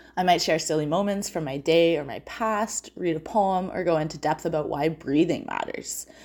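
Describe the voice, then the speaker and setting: A plain, everyday voice at a moderate pace, with ordinary pitch variation and hardly any pauses. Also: woman, fairly low pitch for a woman. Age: 20s. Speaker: podcast host. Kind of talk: casual monologue. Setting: home basement.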